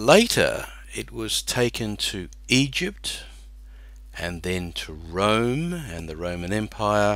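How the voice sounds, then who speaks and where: In an Australian accent, a man speaks at a very slow pace with big swings in loudness and audible room echo. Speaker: accounting teacher. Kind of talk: lecture.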